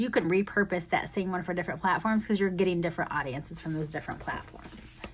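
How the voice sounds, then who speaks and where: A woman races along at a very fast pace with hardly any pauses and ordinary pitch variation, amid noticeable background noise. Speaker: planner content creator. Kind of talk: product flip-through video. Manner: casual, filler-heavy.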